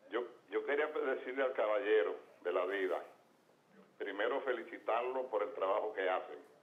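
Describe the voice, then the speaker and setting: A man at a moderate pace with very even loudness, long, frequent pauses and audible room echo. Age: 70s. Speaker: caller, long-time state worker. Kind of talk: call-in question. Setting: phone call.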